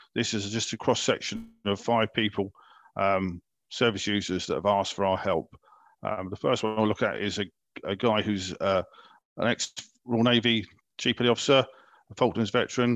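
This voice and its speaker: With long, frequent pauses, a man speaks at a moderate pace in a fairly low pitch against a quiet background. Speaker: veterans wellbeing advisor. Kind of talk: recorded podcast interview about a support service. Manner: loud.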